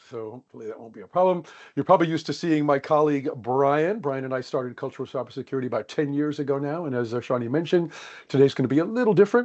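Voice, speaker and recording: Talking very fast with an American accent, a man with a fairly high pitch shows ordinary pitch variation and big swings in loudness. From United States. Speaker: organizational psychologist, workshop presenter. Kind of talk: webinar presentation.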